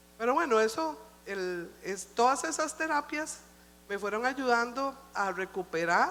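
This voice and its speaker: A woman's intonation is lively while her delivery moves very slowly. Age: old. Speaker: church speaker. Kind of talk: sermon.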